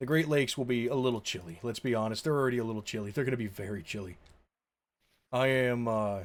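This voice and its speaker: Very fast speech comes from a man at a medium pitch. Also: ordinary pitch variation. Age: 20s. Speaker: video game streamer. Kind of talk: casual live stream commentary. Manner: rambling, self-interrupting.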